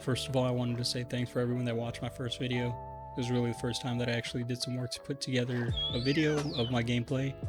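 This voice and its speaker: With music behind him, a man talks at a very fast pace. He barely pauses, and his intonation is flat and monotone. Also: medium pitch for a man. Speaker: Minecraft gameplay YouTuber. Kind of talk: gameplay commentary voice-over.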